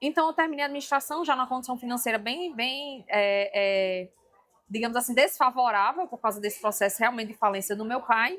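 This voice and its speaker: Someone with a strong northeastern Brazilian accent talks at a fairly quick pace with ordinary pitch variation. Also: woman, high pitch for a woman. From Brazil, Rio Grande do Norte (Northeast). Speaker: leadership trainer and speaker. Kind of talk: podcast interview. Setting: event booth at an education fair.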